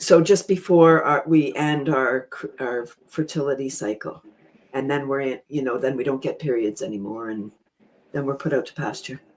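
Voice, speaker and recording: With a very deep, low pitch, a woman talks at a moderate pace, her loudness swinging widely while her pitch varies an ordinary amount. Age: 60s. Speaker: panel guest on women's health talk show. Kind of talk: panel discussion. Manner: halting, many fillers and repeats.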